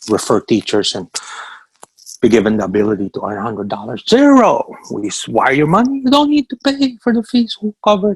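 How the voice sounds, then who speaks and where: The man talks at a fairly quick pace. The sound is dry and close, without echo. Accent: Filipino. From Philippines. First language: Tagalog. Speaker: business owner. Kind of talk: orientation call presentation. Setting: video call. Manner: fast; animated.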